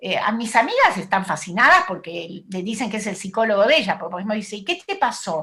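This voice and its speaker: A woman with a plain, everyday voice talks at medium pitch with lively intonation and hardly any pauses. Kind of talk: talk at an online event.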